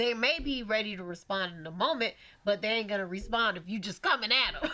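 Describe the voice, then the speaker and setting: Over noticeable background noise, a woman talks at a very fast pace with a fairly high pitch, lively intonation and an animated tone. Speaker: podcast co-host. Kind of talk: casual chat. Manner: loud.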